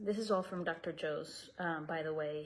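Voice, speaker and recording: A woman with a Spanish accent speaks in a fairly low, somewhat breathy voice. Her pace is fairly slow. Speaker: meditation teacher. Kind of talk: casual presentation. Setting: video call. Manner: halting.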